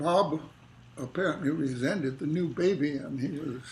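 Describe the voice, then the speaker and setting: A man with an American accent talks at a fairly slow pace and a fairly high pitch, with ordinary pitch variation. Audible room echo surrounds the voice. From Los Angeles, California, US. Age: 90s. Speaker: retired academic being interviewed. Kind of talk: oral history interview. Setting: family home kitchen.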